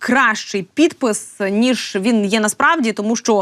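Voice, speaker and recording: The woman's intonation is lively. She speaks at a fairly slow pace. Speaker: news commentary host. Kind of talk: satirical news review. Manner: sarcastic; hesitant with fillers.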